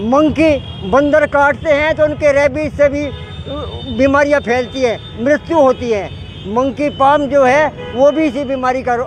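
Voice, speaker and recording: An extremely high-pitched male voice with fairly even intonation over noticeable background noise. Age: 70s. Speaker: retired doctor and protester. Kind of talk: street interview.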